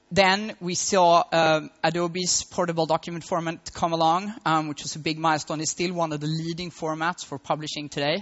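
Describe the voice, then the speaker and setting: A man with a Swedish accent speaks in a high, monotone voice with flat intonation, at a fairly quick pace with hardly any pauses. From Sweden, Malmo. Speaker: tech entrepreneur. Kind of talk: conference talk. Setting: stage with audience.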